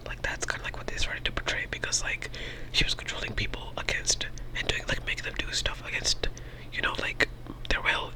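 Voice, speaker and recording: Only a whisper is used here. Background noise is noticeable throughout. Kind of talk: ASMR movie review. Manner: whispered; casual, rambling.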